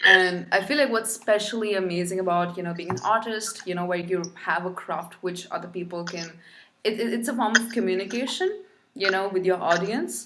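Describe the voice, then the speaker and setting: With a non-native accent, a woman speaks at a medium pitch over noticeable background noise. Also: ordinary pitch variation, fairly quick pace. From India. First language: not English. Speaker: podcast host. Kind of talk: casual interview chat.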